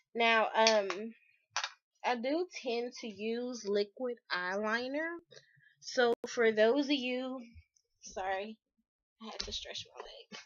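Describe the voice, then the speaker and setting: A woman talks at a very slow pace with long, frequent pauses and big swings in loudness. Her pitch is fairly high, with ordinary pitch variation. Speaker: beauty vlogger. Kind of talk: tutorial. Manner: casual, hesitant with fillers.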